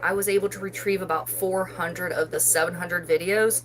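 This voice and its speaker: A woman speaks with an American accent at a medium pitch. Noticeable background noise runs beneath her voice. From West Virginia, Parkersburg. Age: 40s. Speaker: loom knitting YouTuber. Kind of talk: casual live stream chat. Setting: live stream.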